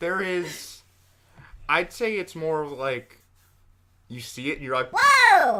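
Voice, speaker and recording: The voice is loud, with lively intonation. It moves at a very slow pace, broken by long, frequent pauses. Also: man, high pitch for a man. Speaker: podcast co-host. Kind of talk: casual chat.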